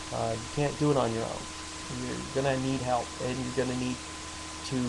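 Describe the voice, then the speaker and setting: A man talks at a moderate speed amid clear background noise and room echo. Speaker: war veteran with PTSD. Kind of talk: personal advice monologue. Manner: halting, many fillers and repetitions.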